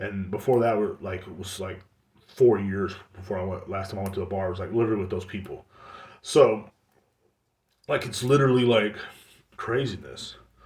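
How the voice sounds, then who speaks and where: A man with an American accent speaks at a fairly quick pace in a fairly low, somewhat breathy voice with ordinary pitch variation, big swings in loudness and long, frequent pauses. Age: 30s. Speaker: podcast host. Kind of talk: casual monologue. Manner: animated.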